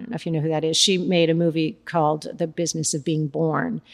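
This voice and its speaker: Her pitch fairly low, a woman speaks at a fairly quick pace in a very clean recording with a silent background. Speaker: prenatal yoga teacher. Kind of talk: casual interview. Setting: studio.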